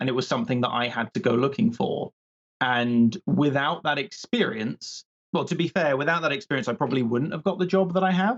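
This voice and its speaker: Speaking with a British accent, a man talks at a fairly quick pace. His pitch is fairly high and his intonation lively. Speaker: PhD candidate in biological anthropology. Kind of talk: casual interview chat. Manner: fast; projecting, energetic.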